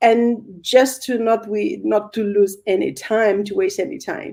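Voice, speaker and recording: A woman's dark, mellow tone at a medium pitch. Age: 50s. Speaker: interview host. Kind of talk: interview.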